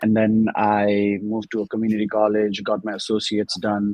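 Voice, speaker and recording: A man with a Nepali accent speaks at a fairly quick pace. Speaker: student and mainframe analyst. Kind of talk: interview. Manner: formal.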